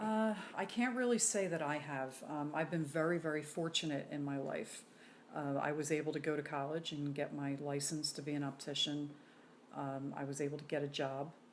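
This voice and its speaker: A woman speaks with an American accent at a moderate pace. Her pitch is very deep and low. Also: ordinary pitch variation. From Philadelphia. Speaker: optician. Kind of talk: interview answer.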